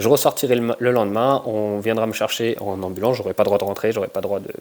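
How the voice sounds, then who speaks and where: At a very fast pace, a man of medium pitch talks with fairly even intonation. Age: 30s. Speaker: combat sports and fitness coach. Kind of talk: personal testimony. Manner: halting, many hesitations.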